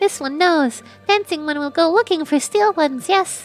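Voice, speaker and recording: Raspy and strained, this put-on character voice moves at a moderate pace over faint music in the background. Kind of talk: broken speech, third person.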